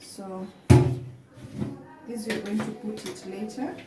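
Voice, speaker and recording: A woman speaks at a very slow pace. Audible room echo and noticeable background noise are present. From Kenya. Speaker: cooking vlogger. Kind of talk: cooking tutorial. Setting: home kitchen. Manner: halting.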